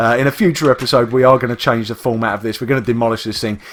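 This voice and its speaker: A man speaks with an East London accent. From England, East London. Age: adult, works full time. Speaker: gaming youtuber. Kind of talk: gameplay commentary. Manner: casual, rambling with many fillers.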